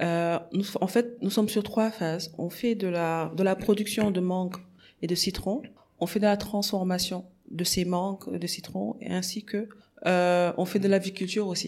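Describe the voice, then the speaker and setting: Her pitch is medium and her intonation fairly even. The woman speaks at a fairly slow pace. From Senegal, Dakar. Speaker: agribusiness entrepreneur. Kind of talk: interview. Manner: halting.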